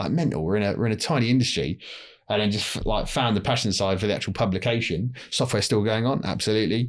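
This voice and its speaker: The speech comes at a very fast pace. It is delivered with a London accent. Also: man. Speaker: telecom industry publisher and podcast host. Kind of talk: casual podcast interview.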